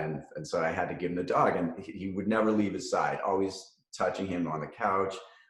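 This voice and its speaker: Amid audible room echo, a man with a Boston accent speaks with a very deep, low pitch and ordinary pitch variation. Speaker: cannabis company founder and CEO. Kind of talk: podcast interview. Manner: halting, many fillers and repetitions.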